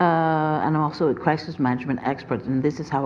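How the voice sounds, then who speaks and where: A woman with a French accent, her pitch very deep and low, fairly even intonation, noticeable background noise behind her. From France. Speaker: police commissioner, standards expert. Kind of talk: panel discussion.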